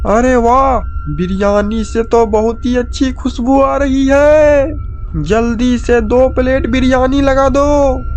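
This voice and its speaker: A man uses a cartoonish character voice with an extremely high pitch and very even loudness. He talks at a fairly slow pace over clear background noise. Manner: boastful, bossy.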